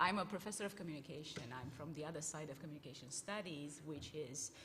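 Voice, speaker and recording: Speaking at a very fast pace with ordinary pitch variation, a woman with a very deep, low pitch sounds out against audible room echo. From Romania. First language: Romanian. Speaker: communication professor. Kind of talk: panel discussion.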